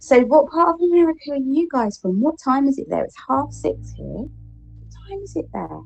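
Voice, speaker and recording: Music plays behind a woman with an English accent. Her loudness swings widely. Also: moderate pace. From England. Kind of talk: casual chat. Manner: proper, refined.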